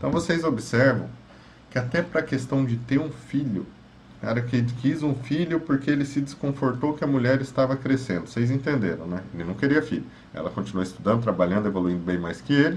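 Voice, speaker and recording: Showing vocal fry, a man with a medium pitch talks at a fairly quick pace with lively intonation. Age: 30s. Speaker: psychologist. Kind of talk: advice monologue.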